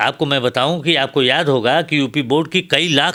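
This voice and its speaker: Here a man talks at a moderate pace. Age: 70s. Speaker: professor. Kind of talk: interview. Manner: animated.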